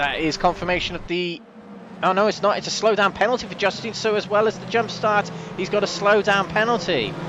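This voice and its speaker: A man talks fairly quickly in a high pitch, with noticeable background noise behind him. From Wales, parents from the Midlands. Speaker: sim racing commentator. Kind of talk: live commentary. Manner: animated.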